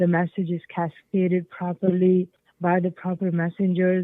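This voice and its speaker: A woman with a Pakistani accent talks at a fairly low pitch. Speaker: change management consultant. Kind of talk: interview. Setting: podcast. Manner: hesitant, many fillers.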